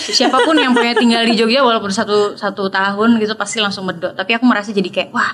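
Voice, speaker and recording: Over noticeable background noise, a woman talks very fast with hardly any pauses, her fairly high pitch held in fairly even intonation. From Indonesia, Yogyakarta (also Papua, South Sumatra). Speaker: singer. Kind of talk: interview. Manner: casual, with many fillers.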